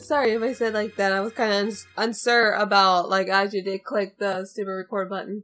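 A woman talks at a fairly quick pace with fairly even intonation, music playing in the background. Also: medium pitch for a woman. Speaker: gaming video creator. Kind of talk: let's play commentary. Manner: halting, self-correcting.

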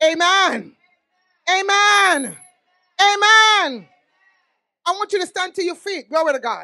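A woman speaks in an extremely high, raised, projected voice with a bright, sharp tone. Her delivery is animated and fairly slow, over a quiet background. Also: ordinary pitch variation. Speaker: pastor and prophet; pastor. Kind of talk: sermon. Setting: church. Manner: animated, exclamatory. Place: church. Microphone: handheld.

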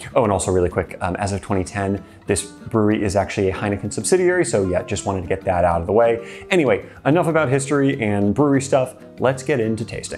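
Faint music plays in the background. Over it a man talks very fast at a fairly low pitch. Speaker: beer review host. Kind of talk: casual vlog chat. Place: studio. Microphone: lapel.

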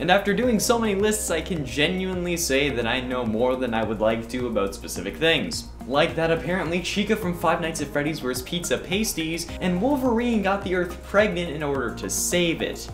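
A man speaks at a moderate pace with hardly any pauses and very wide pitch swings. Clear music plays in the background. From Canada. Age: 20s. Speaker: online host and streamer. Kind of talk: casual talk to camera.

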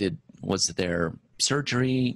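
Lively intonation runs through what the man says. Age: 50s. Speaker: podcast host. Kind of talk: interview. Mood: warm, polite. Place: office. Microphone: handheld.

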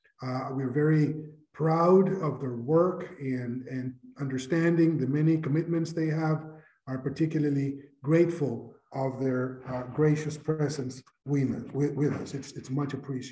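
Against a quiet background with audible room echo, a man speaks at a fairly slow pace with fairly even intonation. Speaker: conference host. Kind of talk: formal welcome speech. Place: office. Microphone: webcam.

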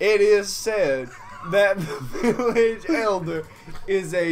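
The clip is plain reading aloud.

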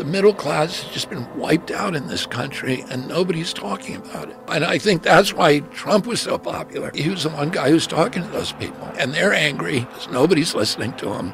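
Over clear background music, a man speaks at a fairly quick pace with hardly any pauses and big swings in loudness, in a dry sound with no echo. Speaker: podcast guest, candidate. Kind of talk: interview answer. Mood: earnest, serious political argument. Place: studio. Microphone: studio mic.

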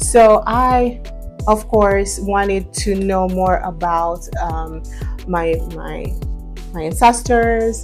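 Faint music plays in the background as a woman speaks at a very slow pace. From Jamaica. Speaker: vlogger on heritage and dialect. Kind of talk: casual talk to camera. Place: home room. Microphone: lapel.

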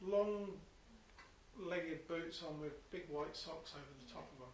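A man talks at a high pitch and moderate pace, with long, frequent pauses and fairly even intonation. His loudness swings widely, and room echo is audible. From not New Zealand. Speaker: gaming co-commentator. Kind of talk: casual chat.

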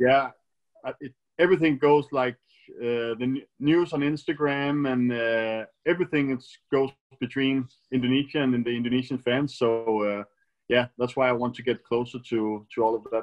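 A man with a Danish accent against a quiet background. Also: medium pitch for a man, fairly even intonation, moderate pace. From Denmark. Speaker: professional badminton player; interviewee. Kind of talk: casual interview. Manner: hesitant, many fillers. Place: home room. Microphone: video call.

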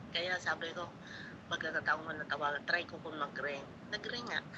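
A woman's fairly low voice with ordinary pitch variation and long, frequent pauses, over noticeable background noise. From Visayas, Philippines. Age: old. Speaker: caller, viewer. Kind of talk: casual chat.

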